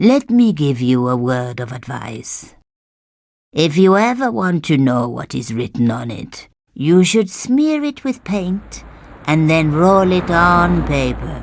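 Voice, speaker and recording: Using a put-on character voice, a man speaks at a fairly high pitch. His delivery is fairly slow with very wide pitch swings. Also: very clean recording, silent background. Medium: video game. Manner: wry, teasing.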